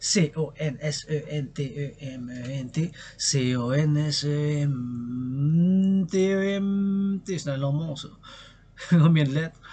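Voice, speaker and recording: A man speaks very slowly in a dark, mellow tone, somewhat breathy. His pitch is fairly high and varies in an ordinary way. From Quebec. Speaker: poet, dancer, artist. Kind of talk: casual talk to camera. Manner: passionate, rambling.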